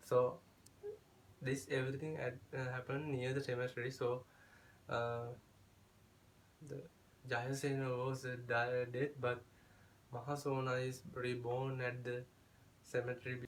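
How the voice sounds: Speaking at a fairly slow pace with long, frequent pauses, a man keeps little pitch movement amid audible room echo. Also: medium pitch for a man.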